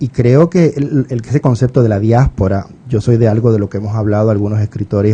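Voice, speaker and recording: In a strong Puerto Rican accent, a man talks at a fairly quick pace with a medium pitch and ordinary pitch variation, with noticeable background noise behind him. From Puerto Rico, Caguas. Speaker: writer and university professor. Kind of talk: radio interview.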